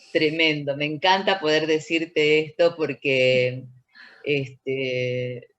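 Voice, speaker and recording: A very slow pace with fairly even intonation. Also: woman. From Argentina, Tucumán. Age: 60s. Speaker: dancer, choreographer and researcher. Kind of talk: interview conversation.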